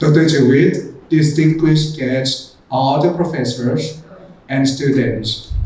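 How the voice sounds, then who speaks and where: A man with a Thai accent speaks in a fairly high pitch with fairly even intonation, amid audible room echo and noticeable background noise. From rural Thailand. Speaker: education business development manager. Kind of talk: keynote speech.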